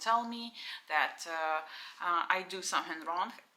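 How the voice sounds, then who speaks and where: Over noticeable background noise, a woman's voice rises and falls with ordinary pitch variation. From Ukraine. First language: Russian and Ukrainian. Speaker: vlogger. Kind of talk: casual vlog talk to camera. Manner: halting, many fillers.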